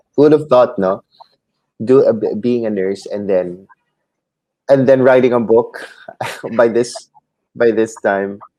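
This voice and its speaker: A man's dark, mellow voice with a Filipino accent, medium in pitch, fairly slow, fairly even in intonation, with long, frequent pauses. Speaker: YouTube host, aspiring author. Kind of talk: interview.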